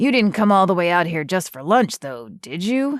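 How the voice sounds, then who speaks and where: A growling, put-on character voice sits at a middle pitch. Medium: read story. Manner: calm, gentle.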